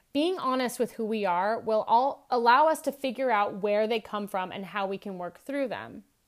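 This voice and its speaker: A woman with an ordinary speaking voice talks at a moderate pace with hardly any pauses, a fairly high pitch and ordinary pitch variation. The recording is very clean, with a silent background. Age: 40s. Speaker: wellness podcast host. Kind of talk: solo reflective monologue.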